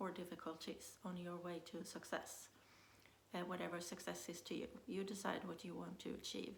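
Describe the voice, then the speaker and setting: In audible room echo, a woman speaks at a medium pitch and a moderate pace. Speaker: business coach. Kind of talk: motivational talk. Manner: hesitant, many fillers.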